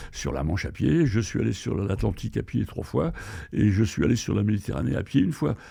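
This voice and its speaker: Dark and mellow in tone, a man's fairly low voice moves through very wide pitch swings. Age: 70s. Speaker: retired traveller and adventurer. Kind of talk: podcast interview. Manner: hesitant, many fillers.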